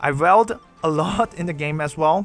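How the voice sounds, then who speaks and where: A man talks at a moderate pace, his pitch varying in an ordinary way, over background music. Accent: Mandarin. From China. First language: Mandarin. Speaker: gaming YouTuber. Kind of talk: scripted Q&A narration.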